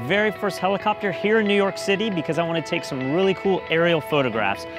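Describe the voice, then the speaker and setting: Clear music plays behind a man who talks at a very fast pace, the sound dry with no echo. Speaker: photographer host. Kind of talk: casual vlog intro. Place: street. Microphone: lapel.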